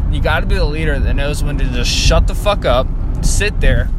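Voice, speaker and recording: Background noise is noticeable and the room echo audible as a man speaks at a moderate pace. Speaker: podcaster. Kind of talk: casual monologue. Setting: in a car.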